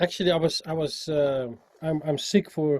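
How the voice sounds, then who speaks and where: A man's somewhat breathy voice with a dark, mellow tone. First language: Dutch. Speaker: musician, singer and sax player. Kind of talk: interview. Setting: call. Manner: halting, with many repetitions.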